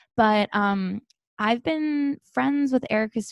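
Against a quiet background, a woman talks in a fairly high pitch with lively intonation. She has an unremarkable speaking voice. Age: 30s. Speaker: podcast co-host. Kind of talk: casual chat.

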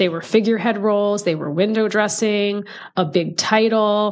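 A woman speaks in a plain, everyday voice at a medium pitch with fairly even intonation. The background is quiet. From United States, child of Indian immigrants. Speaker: DEI executive and author. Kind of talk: interview conversation.

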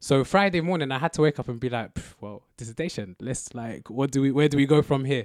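Speaking at a very fast pace with hardly any pauses, a man with a London accent talks at a fairly high pitch. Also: ordinary pitch variation, dry, close sound with no echo. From southwest London. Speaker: university student. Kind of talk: casual chat.

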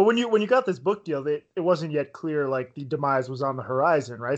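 A man speaks fairly quickly in a normal speaking voice. His pitch is fairly high, over a quiet background. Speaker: podcast host interviewer. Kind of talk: casual interview conversation.

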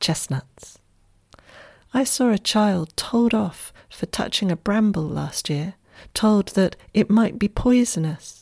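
A woman speaks at a very slow pace, somewhat breathy, at a medium pitch with ordinary pitch variation. The recording is very clean, with a silent background and a dry, close sound with no echo. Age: 50s. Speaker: Tai Chi teacher and podcaster. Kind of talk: reflective essay reading.

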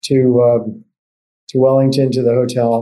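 Amid audible room echo, a man talks at a fairly slow pace in a dark, mellow tone. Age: 70s. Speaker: economics professor. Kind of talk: casual interview about economic policy.

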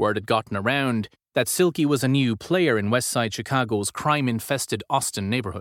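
A man delivers lines in a dramatic tone at medium pitch and a fairly quick pace, with ordinary pitch variation. The recording is very clean with a silent background, dry and close with no echo. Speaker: audiobook-style narrator. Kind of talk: dramatic narration, tense true-crime storytelling read aloud. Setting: studio. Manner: gripping, suspenseful, measured pacing with dramatic emphasis.

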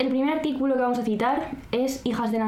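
A woman is speaking with audible room echo around her. Noticeable background noise runs under her voice. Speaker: podcast co-host. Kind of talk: casual chat with read-out script passages. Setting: home recording, not a studio.

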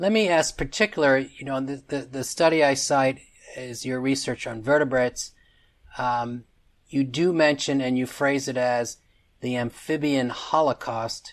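A man with a normal speaking voice, medium pitch and ordinary pitch variation, at a moderate pace against a quiet background. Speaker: podcast host. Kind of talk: interview.

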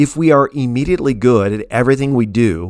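At a moderate pace, a normal speaking voice comes through on a very clean recording with a silent background. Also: man. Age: 50s. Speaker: essayist reading own newsletter. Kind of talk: scripted narration.

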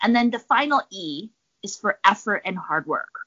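This woman has an ordinary speaking voice at a medium pitch. She talks at a moderate pace. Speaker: professor and researcher. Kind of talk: interview, explanatory talk. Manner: conversational, hedging with fillers.

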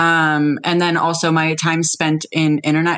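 The speaker is a woman. Her voice has a fairly low pitch. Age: 20s. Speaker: detransitioned woman sharing her experience. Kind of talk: casual interview conversation.

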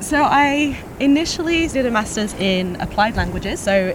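A woman speaks with a British accent at a fairly slow pace. There is noticeable background noise. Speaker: content marketing manager. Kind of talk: casual conversation interview. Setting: outdoors walking.

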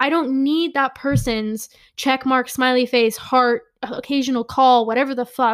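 A woman with a high voice speaks in an animated tone at a fairly slow pace. The recording is very clean, with a silent background. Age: 20s. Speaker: podcast host. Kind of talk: personal monologue.

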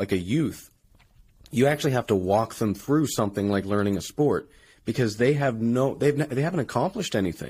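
On a very clean recording with a silent background, an unremarkable speaking voice moves at a fairly quick pace with lively intonation and very even loudness. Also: man. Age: 20s. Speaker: podcast host and engineer, strength athlete. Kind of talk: casual chat.

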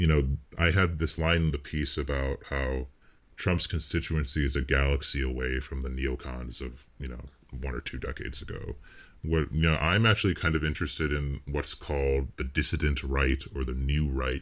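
A man with a very deep, low pitch and an American accent speaks at a moderate pace with fairly even intonation in a very clean recording with a silent background. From United States. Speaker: pseudonymous political writer. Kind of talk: podcast interview. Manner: soft-spoken.

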